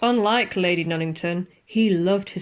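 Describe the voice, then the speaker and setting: A woman has a normal speaking voice at a medium pitch. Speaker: ghost story narrator. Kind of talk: ghost story narration.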